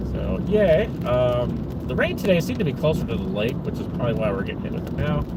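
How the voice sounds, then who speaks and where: Very fast speech with hardly any pauses in an American accent, amid audible room echo and noticeable background noise. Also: man. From Chicago area, Illinois. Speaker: vlogger. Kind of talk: casual live-stream chat while driving. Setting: in a car. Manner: halting, many fillers and repetitions.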